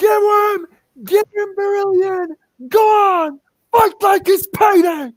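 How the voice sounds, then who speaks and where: A put-on character voice at an extremely high pitch, loud and shouting, very slow, with long, frequent pauses. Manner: yelling.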